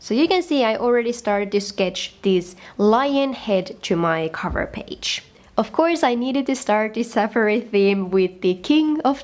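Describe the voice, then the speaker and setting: Lively intonation at a moderate pace, with noticeable background noise. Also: woman. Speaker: bullet journal youtuber. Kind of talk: tutorial voiceover.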